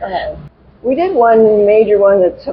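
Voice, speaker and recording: The speech comes at a very slow pace. Noticeable background noise is present. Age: 80s+. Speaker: adult figure skater, synchro team member. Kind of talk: interview. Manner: halting.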